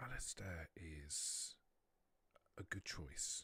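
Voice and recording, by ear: A man puts on a character voice, low in pitch with a husky, rough edge and a bright, sharp tone, his intonation lively at a very slow pace.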